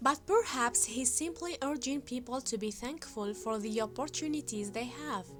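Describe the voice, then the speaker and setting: Over music in the background, a woman with a high pitch speaks at a moderate pace with very wide pitch swings and hardly any pauses. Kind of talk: documentary-style fact narration.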